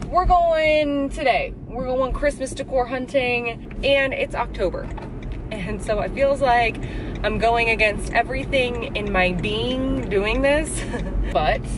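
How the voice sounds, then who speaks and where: The sound is dry with no echo, and background noise is noticeable. Delivery comes at a very slow pace. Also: woman. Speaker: vlogger. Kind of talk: casual vlog chat. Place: car. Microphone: phone near.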